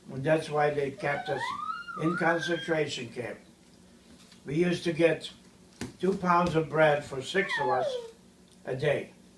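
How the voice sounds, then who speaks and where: At a fairly slow pace with long, frequent pauses, a man speaks at a fairly high pitch with ordinary pitch variation as noticeable background noise plays behind him. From Ukraine. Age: 70s. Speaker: priest. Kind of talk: interview.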